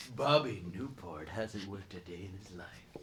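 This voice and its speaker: Over clear background noise, a man puts on a character voice pitched fairly low. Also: moderate pace, ordinary pitch variation. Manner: comic, exaggerated.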